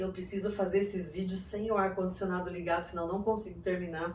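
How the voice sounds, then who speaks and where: Audible room echo surrounds a woman speaking at a fairly quick pace. Her medium-pitched voice stays monotone and flat. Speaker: psychoanalyst and self-development youtuber. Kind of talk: video monologue. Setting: room without air conditioning.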